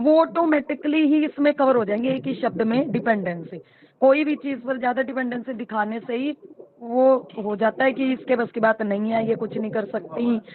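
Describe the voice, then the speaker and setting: High pitch from a female speaker, its rise and fall ordinary. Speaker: panel participant in women's group discussion. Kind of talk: online group discussion. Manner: animated.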